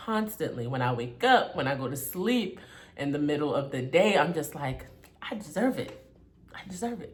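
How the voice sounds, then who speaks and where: A somewhat breathy woman's voice, very deep and low, with very wide pitch swings, big swings in loudness, a moderate pace and audible room echo. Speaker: self-help vlogger. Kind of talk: casual motivational talk. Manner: stern in places.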